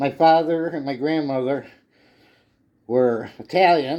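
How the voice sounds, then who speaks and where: A man speaks with a Chicago accent at a very slow pace. His tone is dark and mellow. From Illinois, Chicago area. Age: 60s. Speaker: retired home cook, video creator. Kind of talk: casual cooking video. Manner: chatty, rambling conversational.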